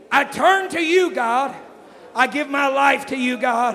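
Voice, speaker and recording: A man speaks in an American accent, with noticeable background noise behind him. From Texas. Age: young. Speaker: evangelist. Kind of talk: climactic altar-call sermon, commanding healing and tongues. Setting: church. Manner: loud, building to a shout.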